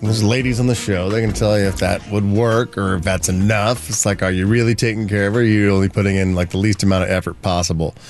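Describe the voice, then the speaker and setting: Over noticeable background noise, a man with a fairly low pitch talks at a very fast pace with hardly any pauses. His loudness is very even. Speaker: radio host. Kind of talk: casual chat. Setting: studio. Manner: animated.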